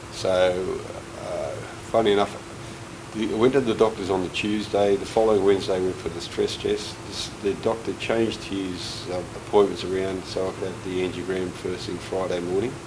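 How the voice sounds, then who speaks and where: In a room with audible echo and noticeable background noise, a man speaks at a moderate pace in a fairly low, monotone, flat voice. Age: 60s. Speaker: heart patient. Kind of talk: testimony. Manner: halting.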